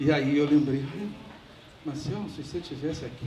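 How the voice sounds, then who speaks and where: A man speaks at a fairly high pitch. Audible room echo and noticeable background noise fill the recording. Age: 70s. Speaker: family friend giving a eulogy. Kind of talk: memorial speech. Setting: memorial ceremony.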